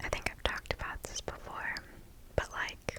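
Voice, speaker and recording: A woman whispers over noticeable background noise. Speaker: ASMR creator. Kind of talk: casual chatting to the audience after the story. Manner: whispered, soft-spoken.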